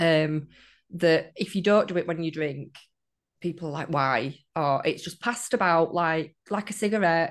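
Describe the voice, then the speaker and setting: With a northern English accent, a woman speaks at a moderate pace in a fairly low pitch, using ordinary pitch variation over a quiet background. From northern England. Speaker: guest sharing sobriety story. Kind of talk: casual interview chat.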